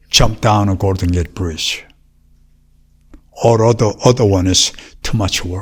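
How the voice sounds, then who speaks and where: A man with a Korean accent speaks at a fairly low pitch in a somewhat breathy voice, with fairly even intonation. His pace is fairly slow, with long, frequent pauses. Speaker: martial arts master. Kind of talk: interview.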